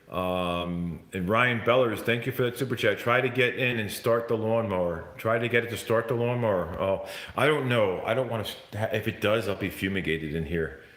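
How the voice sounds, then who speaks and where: Against noticeable background noise, a man at medium pitch talks at a fairly quick pace with ordinary pitch variation. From New Jersey / New York, US. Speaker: YouTuber ghost hunter. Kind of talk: live stream chat. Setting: at home, live stream. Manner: loud; halting.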